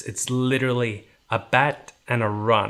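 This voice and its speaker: Speaking at a very slow pace with an Icelandic accent, a man uses a medium pitch and fairly even intonation. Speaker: houseplant YouTuber. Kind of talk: casual vlog tutorial.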